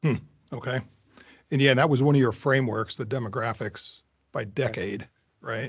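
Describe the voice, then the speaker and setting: Somewhat breathy and fairly even in intonation, a man talks at a moderate pace and a medium pitch, leaving long, frequent pauses. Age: 50s. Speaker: podcast host. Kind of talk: interview.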